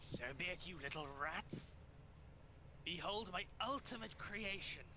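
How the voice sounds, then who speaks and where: Loud background noise sits behind a put-on character voice that moves at a fairly slow pace. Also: man, high pitch for a man. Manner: menacing, theatrical.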